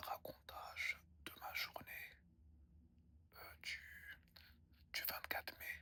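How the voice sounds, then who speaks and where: A man whispers at a very slow pace. He leaves long, frequent pauses. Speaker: ASMR creator. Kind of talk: ASMR whispered storytelling to camera. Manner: whispered, soft, relaxing.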